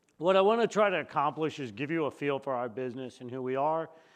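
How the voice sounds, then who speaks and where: His pitch rises and falls in an ordinary way. The man's delivery is very fast. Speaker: company CEO giving keynote. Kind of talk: conference presentation. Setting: conference room with audience. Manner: loud; casual, conversational.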